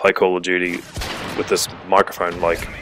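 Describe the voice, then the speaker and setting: Speaking at a moderate pace, a man with an Australian accent uses a very deep, low pitch over noticeable background noise. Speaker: gaming YouTuber. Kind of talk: gameplay commentary. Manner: hesitant, many fillers.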